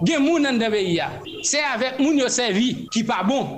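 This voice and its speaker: A man speaks very slowly in an extremely high pitch with lively intonation. Noticeable background noise and room echo surround him. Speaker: youth movement coordinator. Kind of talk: radio interview.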